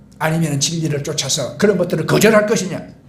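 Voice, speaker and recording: A man with a Gyeongsang accent, ordinary pitch variation, and audible room echo. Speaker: pastor. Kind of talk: sermon.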